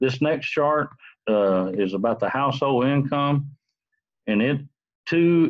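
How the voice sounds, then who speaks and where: A man talks at a fairly slow pace. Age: 60s. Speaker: student. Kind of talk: class assignment presentation. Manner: halting.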